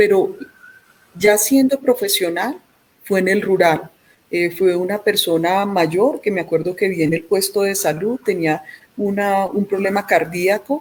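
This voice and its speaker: The speaker has an Antioquian Colombian accent. The pace is fairly slow, with ordinary pitch variation. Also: woman, medium pitch for a woman. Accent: Antioquian (paisa) Colombian accent, kept. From Colombia, Antioquia (Medellín). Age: 50s. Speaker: physician, pediatrician. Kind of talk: interview. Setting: remote from home. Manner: hesitant, many repetitions.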